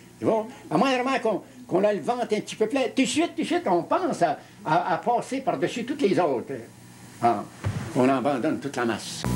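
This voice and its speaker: Noticeable background noise sits under a man speaking at a fairly quick pace with long, frequent pauses. His high voice makes very wide pitch swings. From Quebec. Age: 70s. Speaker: retired union leader. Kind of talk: interview. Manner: halting, with many repetitions.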